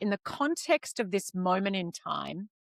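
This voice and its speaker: In an Australian accent, a woman with a medium pitch speaks at a very slow pace, using lively intonation. The sound is dry and close with no echo. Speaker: podcast host. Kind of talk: interview conversation.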